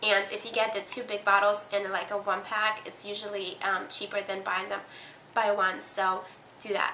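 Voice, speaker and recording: There is audible room echo around a woman's voice. She speaks at a medium pitch with monotone, flat intonation. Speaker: beauty vlogger. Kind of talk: casual product review vlog. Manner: fast.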